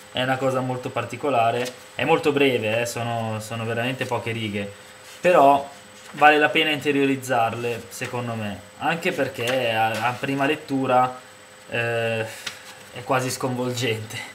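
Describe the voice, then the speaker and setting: A man speaks fairly slowly, his intonation fairly even, with light background noise behind him. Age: 20s. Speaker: book reviewer and poet; book reviewer, poet. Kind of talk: book review monologue. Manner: hesitant, many fillers. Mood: calm, reflective. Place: home room. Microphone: webcam.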